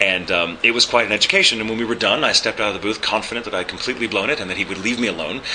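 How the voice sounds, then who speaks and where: A man with an American accent talks at a very fast pace with hardly any pauses, his pitch fairly low with ordinary variation. Noticeable background noise runs underneath. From Texas. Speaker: voice actor and ADR director. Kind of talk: interview. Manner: hesitant, many fillers.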